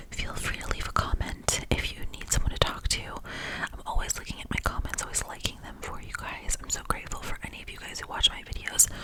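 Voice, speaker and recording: Over noticeable background noise, a woman whispers at a fairly quick pace. She hardly pauses at all. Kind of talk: ASMR whisper ramble to camera. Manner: whispered, soft, intimate.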